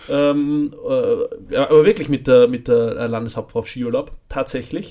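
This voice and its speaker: A man talks at a fairly slow pace with lively intonation. He has a normal speaking voice. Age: 20s. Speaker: podcast co-host. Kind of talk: casual chat.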